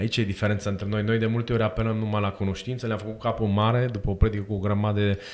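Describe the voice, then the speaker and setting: At a very fast pace, a man talks in a monotone, flat intonation with fairly low pitch. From Romania. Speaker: co-host, church catechism teacher. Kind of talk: casual interview chat. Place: studio. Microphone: studio mic.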